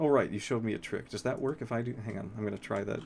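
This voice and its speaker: His intonation is lively. This man's voice carries vocal fry. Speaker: vtuber streamer. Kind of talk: casual live stream chat. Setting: live stream. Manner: halting, many false starts.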